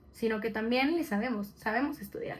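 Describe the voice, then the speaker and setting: With a Mexican accent, a woman speaks at a fairly high pitch with ordinary pitch variation. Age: 20s. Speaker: podcast co-host. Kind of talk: casual podcast chat.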